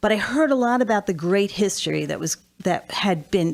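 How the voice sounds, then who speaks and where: A moderately paced American-accented woman's voice, captured on a very clean recording against a silent background. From US, southern New Jersey near Atlantic City. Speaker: financial advisor and former mayor. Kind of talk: radio interview. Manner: halting, many fillers.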